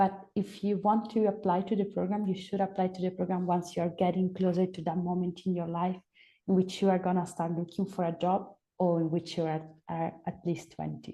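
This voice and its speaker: Against a quiet background, a woman speaks with an Italian accent at a fairly quick pace, her medium-pitched voice dark and mellow in tone and monotone, flat in intonation. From Italy. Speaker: program coordinator. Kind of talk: webinar Q&A.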